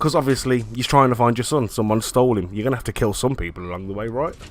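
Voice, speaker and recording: A man speaks with a British accent at medium pitch. His pitch varies in an ordinary way. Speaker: gamer. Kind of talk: casual talk to camera.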